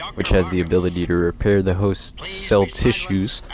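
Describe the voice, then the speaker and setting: Here a man talks at a fairly quick pace. His pitch is very deep and low, and his intonation is monotone and flat. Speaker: gaming YouTuber. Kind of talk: lore narration.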